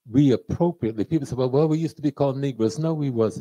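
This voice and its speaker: At a very fast pace, a man talks in a medium pitch with lively intonation. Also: quiet background. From United States. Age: 70s. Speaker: professor and lecturer. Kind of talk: lecture. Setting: stage with audience. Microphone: handheld.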